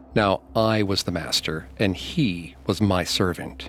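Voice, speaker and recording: Noticeable background noise runs underneath this man's speech. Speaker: podcast narrator. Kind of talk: true-crime narration. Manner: grave, measured storytelling delivery, trading off with co-narrator.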